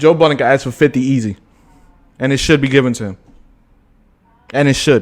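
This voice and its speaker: A man's animated, fairly quick delivery broken by long, frequent pauses. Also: medium pitch for a man. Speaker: podcast co-host. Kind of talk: casual debate. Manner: fast.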